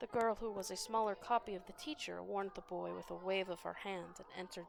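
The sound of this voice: Here is an unforced reading voice. It is heard throughout.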